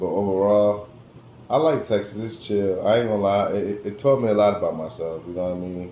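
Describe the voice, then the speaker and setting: Fairly quick speech from a man with an American accent, with audible room echo. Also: ordinary pitch variation. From New Jersey, US. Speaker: vlogger. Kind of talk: casual monologue vlog. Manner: animated, repetitive.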